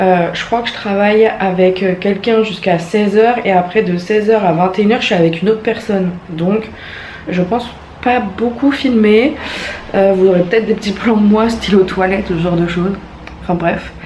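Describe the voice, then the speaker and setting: Her voice sits at a medium pitch with fairly even intonation as this woman speaks fairly quickly. Noticeable background noise and audible room echo are present. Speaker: vlogger. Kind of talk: casual vlog talk to camera.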